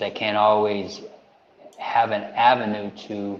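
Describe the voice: A man speaks slowly with little pitch movement, and audible room echo surrounds his voice. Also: fairly low pitch for a man.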